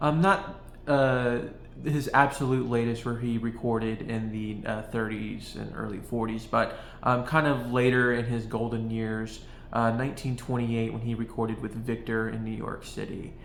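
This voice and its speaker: Fairly even intonation carries through audible room echo. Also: man, medium pitch for a man, moderate pace. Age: 20s. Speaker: video essayist on jazz. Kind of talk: casual monologue. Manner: halting, many fillers.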